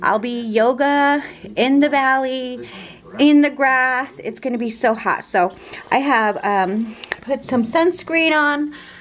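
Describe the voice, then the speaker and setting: Very slowly and in a high voice, a woman talks with ordinary pitch variation over light background noise. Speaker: travel vlogger. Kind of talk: casual vlog chat. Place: home room. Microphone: phone near.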